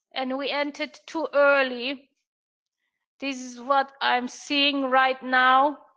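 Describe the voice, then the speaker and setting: A woman's high, bright, sharp voice, raised and projected, in a German accent, at a very slow pace with monotone, flat intonation. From Germany. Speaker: trading mentor. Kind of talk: live trading room commentary. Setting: live online stream. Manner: hesitant, many fillers.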